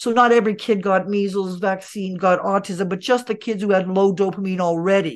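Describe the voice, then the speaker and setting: An ordinary speaking voice from a medium-pitched woman, fairly quick with hardly any pauses and fairly even intonation, over a quiet background. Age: 60s. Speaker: integrative medicine doctor and teacher. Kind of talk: interview. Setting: remote call.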